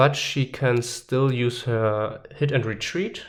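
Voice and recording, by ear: Natural-sounding reading aloud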